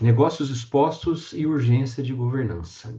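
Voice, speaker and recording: In a São Paulo interior accent, a man speaks at a moderate pace in a dark, mellow, somewhat breathy tone with ordinary pitch variation over a quiet background. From interior of São Paulo state, Brazil. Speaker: professor. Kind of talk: lecture.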